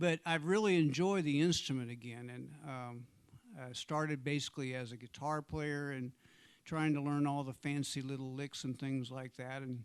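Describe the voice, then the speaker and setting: A man speaks at a moderate pace with a fairly high pitch and fairly even intonation. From US Midwest, southeast Missouri (Jackson, near Cape Girardeau). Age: 60s. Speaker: blues and Americana singer-songwriter. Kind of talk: casual stage banter between songs. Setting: small live venue with intimate audience, livestreamed. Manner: halting, conversational, with fillers.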